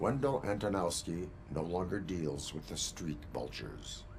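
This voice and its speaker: A put-on character voice moves at a moderate pace. Background noise is clearly audible throughout. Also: man, very deep, low pitch for a man. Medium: video game. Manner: flat, formal, unemotional.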